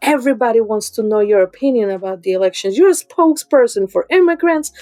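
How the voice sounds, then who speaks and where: With music in the background, a woman talks in a fairly high pitch with lively intonation, the sound dry and close with no echo. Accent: Dominican. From Dominican Republic. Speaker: artist. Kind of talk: interview.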